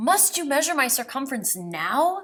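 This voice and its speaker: Putting on a character voice, a woman hisses at a high pitch and moderate pace, her pitch swinging very wide. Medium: read story. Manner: hissing.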